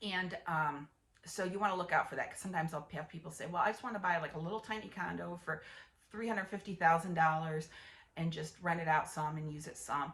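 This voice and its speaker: A woman's fairly low voice at a very fast pace, with ordinary pitch variation, big swings in loudness and noticeable background noise. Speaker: real estate agent. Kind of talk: casual explainer video.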